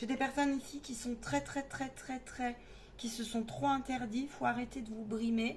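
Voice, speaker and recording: A woman speaks fairly slowly with ordinary pitch variation. Noticeable background noise runs underneath. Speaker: medium giving card readings. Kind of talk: tarot reading monologue. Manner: halting, many fillers.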